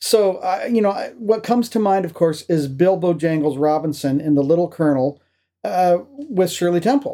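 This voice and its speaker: The man's voice is high in pitch yet has a dark, mellow tone. He keeps a moderate pace with ordinary pitch variation. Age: 50s. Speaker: podcast host. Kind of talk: casual chat. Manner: animated.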